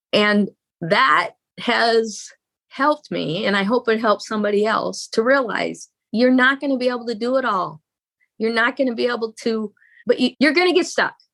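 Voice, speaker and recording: A woman with an unremarkable speaking voice, fairly high in pitch with ordinary variation, talks at a moderate pace in a very clean, silent recording with a dry, close sound and no echo. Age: 60s. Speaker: marriage coach. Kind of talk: interview.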